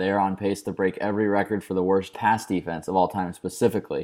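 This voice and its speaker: Against a silent background in a very clean recording, a man with an unremarkable speaking voice talks at a fairly quick pace and a fairly low pitch. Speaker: DFS expert guest. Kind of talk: casual chat.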